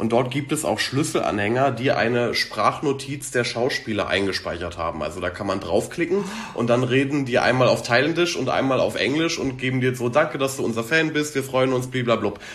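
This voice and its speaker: A man at a medium pitch talks at a fairly quick pace with lively intonation and hardly any pauses. Noticeable background noise and audible room echo surround him. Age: 20s. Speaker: content creator reviewing TV series. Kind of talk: casual chat.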